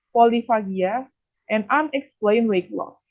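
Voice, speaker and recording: In an Indonesian accent, a woman speaks at a moderate pace and a fairly high pitch. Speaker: nutrition student. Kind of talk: academic presentation. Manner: formal.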